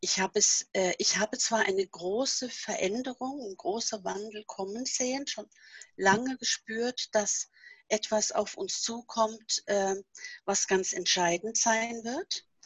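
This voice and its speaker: A woman speaks very slowly at a fairly high pitch, somewhat breathy, with ordinary pitch variation in a dry, close sound with no echo. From Norway. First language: Norwegian (speaking German). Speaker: author and seminar leader. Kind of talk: casual interview.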